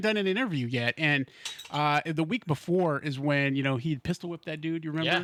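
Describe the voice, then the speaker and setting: An animated tone at a fairly quick pace over noticeable background noise. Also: man. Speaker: radio DJ. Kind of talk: casual chat.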